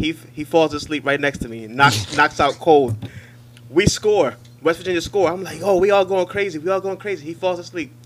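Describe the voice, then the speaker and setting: A man with an American accent, fairly high in pitch and fairly quick in pace, with lively intonation, big swings in loudness and noticeable background noise. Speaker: podcast co-host. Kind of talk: casual banter.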